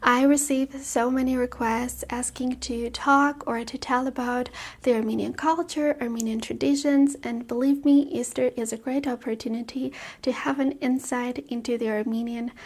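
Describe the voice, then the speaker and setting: Soft-spoken and high in pitch, a woman talks at a moderate pace with flat, monotone intonation in a very clean recording with a silent background. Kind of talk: ASMR vlog, casual talk to camera.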